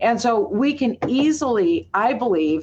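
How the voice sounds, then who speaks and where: A woman talks with an Upper Midwest accent. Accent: Upper Midwest American. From US Midwest, Minneapolis, Minnesota. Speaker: pro-Israel advocate. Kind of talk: webinar presentation.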